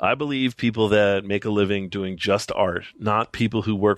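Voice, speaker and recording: A man talks at a moderate pace in a normal speaking voice, fairly low in pitch, with fairly even intonation. The sound is dry and close, with no echo. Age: 40s. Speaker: TV network creative director and anime producer. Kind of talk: casual chat. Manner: casual, frequent filler words.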